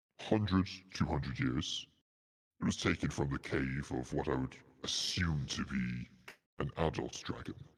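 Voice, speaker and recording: A man puts on a character voice pitched very deep and low. He keeps a moderate pace, broken by long, frequent pauses. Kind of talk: slow, grand fantasy dragon voice. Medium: actual play. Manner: measured, formal, pondering.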